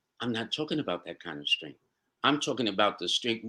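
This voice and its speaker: With a New York accent and lively intonation, a man speaks in a bright, sharp tone on a very clean recording with a silent background. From New York City. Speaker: astro-numerologist. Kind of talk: interview answer. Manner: warm, upbeat.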